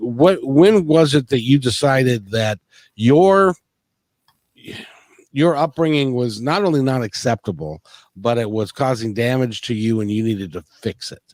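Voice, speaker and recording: The man speaks fairly slowly at a medium pitch, with lively intonation and long, frequent pauses. The sound is dry and close, with no echo. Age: 60s. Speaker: podcast host. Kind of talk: interview. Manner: halting.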